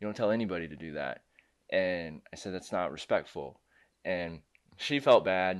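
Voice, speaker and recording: Using a very deep, low pitch with ordinary pitch variation, a man speaks at a moderate pace, leaving long, frequent pauses. His loudness swings widely. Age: 30s. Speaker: producer and co-host. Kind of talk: casual chat.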